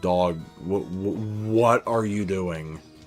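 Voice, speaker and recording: Over clear background music, a man uses a put-on character voice pitched fairly low. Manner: exaggerated, overdramatic.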